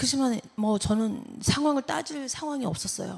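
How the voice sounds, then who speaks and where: A woman talks with lively intonation and a somewhat breathy sound. She keeps a moderate pace. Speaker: church member giving testimony. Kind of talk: testimony.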